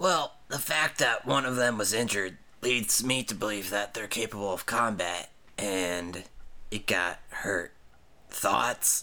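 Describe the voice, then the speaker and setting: A man puts on a raspy character voice at a fairly low pitch and a fairly slow pace, on a very clean recording with a silent background. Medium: actual play. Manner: blunt, brash.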